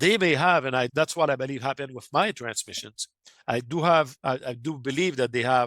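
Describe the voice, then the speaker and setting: The speaker has a French Canadian accent and ordinary pitch variation. The recording is very clean and silent in the background, with a dry, close sound and no echo. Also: man, medium pitch for a man, fairly quick pace. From Quebec, Canada. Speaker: amateur radio operator and UFO contact researcher. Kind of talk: podcast interview. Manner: halting, with frequent self-corrections and fillers.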